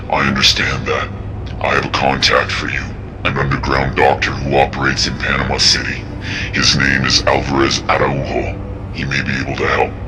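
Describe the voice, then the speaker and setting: A man uses a cartoonish character voice at a fairly quick pace. Loud background noise runs underneath. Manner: calm, measured.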